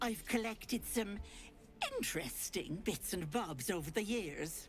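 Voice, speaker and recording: A put-on character voice speaks at a middle pitch and a moderate pace. Background noise is clearly heard. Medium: video game. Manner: cooing, affectionate endearments.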